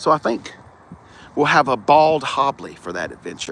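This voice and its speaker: With a Southern US accent, the speaker uses an animated tone at a moderate pace. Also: man. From US South. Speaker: car reviewer. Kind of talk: live stream car walkaround. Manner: casual, animated.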